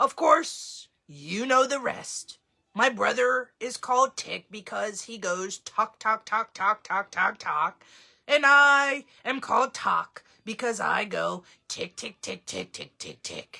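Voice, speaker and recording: Using a put-on character voice, a woman speaks fairly slowly at a fairly high pitch with lively intonation. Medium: read story. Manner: earnest, emotional.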